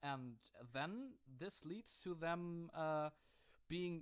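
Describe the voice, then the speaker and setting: A man with a German accent, a fairly high pitch and ordinary pitch variation. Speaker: gaming YouTuber. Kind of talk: gameplay commentary. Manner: hesitant, many fillers.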